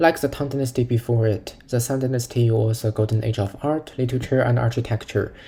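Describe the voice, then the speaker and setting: A man speaks at a medium pitch with a non-native accent. His tone is dark and mellow, somewhat breathy, with fairly even intonation. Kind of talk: educational lecture narration.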